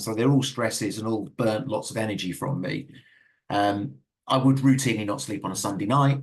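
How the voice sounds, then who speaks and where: A man speaks at a fairly quick pace in a somewhat breathy, medium-pitched voice with ordinary pitch variation. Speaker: dyslexia consultant giving a webinar. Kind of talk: webinar presentation. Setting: online webinar. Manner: fast; halting, many repetitions and fillers.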